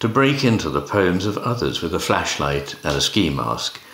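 A man's fairly low voice at a fairly slow pace, with very wide pitch swings and noticeable background noise. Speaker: poetry reader. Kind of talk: poem reading aloud. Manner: measured, expressive.

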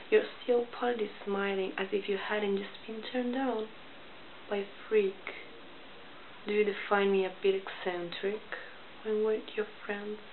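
A woman speaks at a moderate pace in a monotone, flat intonation. She leaves long, frequent pauses over light background noise. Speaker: poet. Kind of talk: poetry reading. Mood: calm, pointed, slightly confrontational. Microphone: webcam.

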